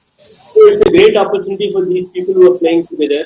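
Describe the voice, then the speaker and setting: A man speaking with fairly even intonation. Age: 60s. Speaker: HR executive. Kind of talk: panel discussion.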